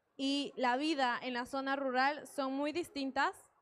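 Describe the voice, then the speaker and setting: Speaking very slowly, a woman uses a high pitch and fairly even intonation. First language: Quechua (speaking Spanish). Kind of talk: panel discussion. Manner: hesitant, with fillers.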